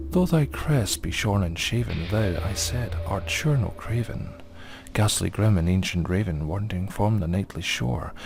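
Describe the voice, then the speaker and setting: Over music in the background, a man with a very deep, low pitch speaks at a fairly slow pace. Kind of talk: poetry reading.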